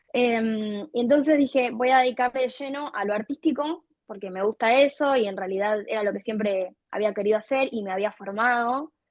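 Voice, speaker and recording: A woman's fairly high voice, a plain, everyday voice with ordinary pitch variation, at a moderate pace with hardly any pauses. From Argentina, Buenos Aires province. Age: 20s. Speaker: content creator and artist. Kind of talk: interview.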